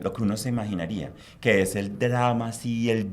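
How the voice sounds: The delivery moves at a moderate pace with little pitch movement. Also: man.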